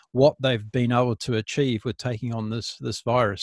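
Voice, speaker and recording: With a New Zealand accent, a man talks at a moderate pace and with fairly even intonation, the sound dry and close with no echo. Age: 50s. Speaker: podcast host. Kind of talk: interview conversation. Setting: remote call.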